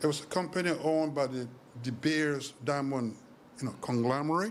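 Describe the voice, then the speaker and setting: Audible room echo surrounds a man with a fairly high pitch. He talks at a moderate pace with ordinary pitch variation. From Sierra Leone. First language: not English. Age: 60s. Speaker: author. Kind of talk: interview.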